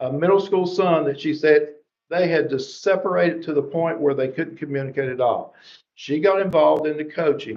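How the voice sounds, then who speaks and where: A man with an American accent, fairly high pitch, fairly quick pace and ordinary pitch variation. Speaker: education presenter. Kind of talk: presentation to school board. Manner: fast; animated.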